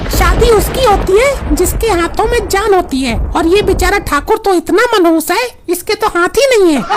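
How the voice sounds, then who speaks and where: Over clear background noise, a cartoonish character voice speaks at a moderate pace. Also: woman, extremely high pitch for a woman. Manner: coy, playful.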